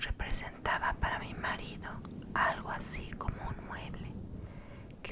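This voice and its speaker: Noticeable background noise fills the recording. Within it, a woman is whispering at a very slow pace. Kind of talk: whispered horror story reading. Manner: whispered, soft, slow.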